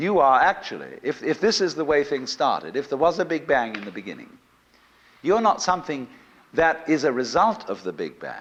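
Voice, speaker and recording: Fairly high male pitch with very wide swings and vocal fry, at a moderate pace. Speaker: lecturer. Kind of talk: lecture to a live audience. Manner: soothing.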